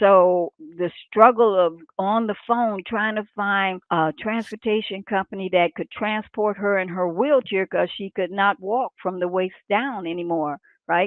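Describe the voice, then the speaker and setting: A woman speaks in a normal speaking voice at medium pitch, talking at a fairly slow pace with fairly even intonation and hardly any pauses. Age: 60s. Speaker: aspiring transportation business owner. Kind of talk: group discussion. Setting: live stream.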